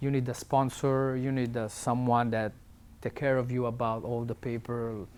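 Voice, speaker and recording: A man with an Italian accent speaks at a moderate pace in a monotone, flat intonation. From Italy. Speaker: tattoo artist. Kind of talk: interview answer.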